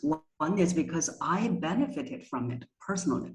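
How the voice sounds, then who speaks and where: A woman's somewhat breathy voice moves at a fairly slow pace. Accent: Chinese. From China. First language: Chinese. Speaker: voice coach. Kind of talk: interview.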